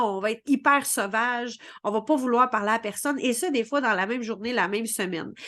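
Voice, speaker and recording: A woman with a Quebec accent speaks at a fairly quick pace in a bright, sharp tone, her fairly high pitch held in fairly even intonation against a quiet background. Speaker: spiritual coach. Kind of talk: vlog explainer. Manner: many fillers and repetitions.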